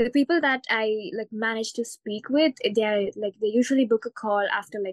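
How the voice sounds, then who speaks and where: A woman has a plain, everyday voice at a fairly high pitch with ordinary pitch variation. Her moderate-paced speech has a dry, close sound with no echo. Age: 20s. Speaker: online coach, coaching client. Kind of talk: live coaching session. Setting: call.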